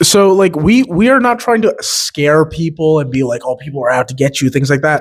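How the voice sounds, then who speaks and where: A loud male voice with very wide pitch swings. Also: fairly high pitch for a man, moderate pace. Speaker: podcast co-host. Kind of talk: casual chat.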